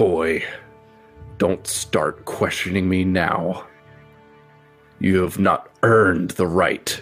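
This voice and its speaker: A man's put-on character voice, very deep and low, at a very slow pace with faint music in the background. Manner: cold, menacing, stern.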